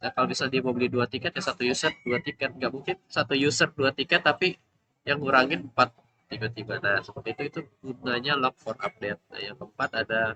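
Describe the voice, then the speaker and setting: A bright, sharp tone comes at a very fast pace with ordinary pitch variation, recorded dry and close with no echo. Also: man, medium pitch for a man. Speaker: student presenting coursework. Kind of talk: class project presentation. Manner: soft-spoken; halting.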